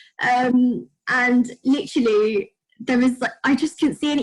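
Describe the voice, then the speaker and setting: A woman with a British accent talks in a high pitch with ordinary pitch variation. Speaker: podcast guest with autoimmune disease. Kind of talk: casual chat.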